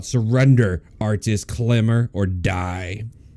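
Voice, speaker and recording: Putting on a booming character voice, a man speaks at a fairly low pitch and a fairly slow pace with ordinary pitch variation. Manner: commanding, menacing.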